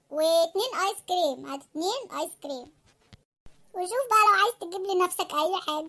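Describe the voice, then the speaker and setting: Using a squeaky, cartoonish character voice at an extremely high pitch, a woman talks at a moderate pace. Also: lively intonation. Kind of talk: comic cartoon sketch. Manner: coaxing, fast list-reeling.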